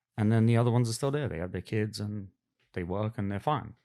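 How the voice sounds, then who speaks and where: A man speaks at a fairly quick pace in a fairly low, dark, mellow voice with ordinary pitch variation, on a very clean recording with a silent background. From West London, England. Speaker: podcast guest. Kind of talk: casual chat. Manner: halting.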